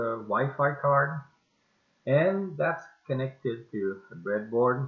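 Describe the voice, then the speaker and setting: In a French accent, a man with a fairly high pitch talks at a very slow pace. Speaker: amateur radio operator. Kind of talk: casual project demo to camera. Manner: hesitant, many filler sounds.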